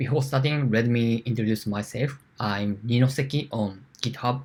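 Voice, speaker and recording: A man with a Japanese accent, medium pitch, a somewhat breathy voice, fairly even intonation and a fairly slow pace. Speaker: security engineer. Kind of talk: conference talk. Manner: halting.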